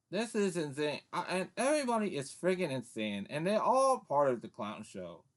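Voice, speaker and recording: A man with a high pitch speaks at a moderate pace with hardly any pauses, his pitch swinging very widely. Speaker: political commentator. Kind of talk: political rant. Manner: stuttering; angry, animated.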